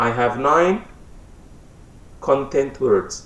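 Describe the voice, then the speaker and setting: At a medium pitch with ordinary pitch variation, a man speaks in a room with audible echo. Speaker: English teacher. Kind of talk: lecture.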